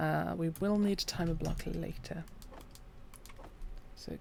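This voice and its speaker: Soft-spoken and calm in tone, a woman talks at a moderate pace. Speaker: gaming streamer. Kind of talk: gameplay commentary. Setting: live stream.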